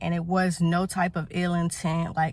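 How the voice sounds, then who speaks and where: A woman's somewhat breathy voice. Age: young. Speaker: car salesperson. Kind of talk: casual vlog talk to camera.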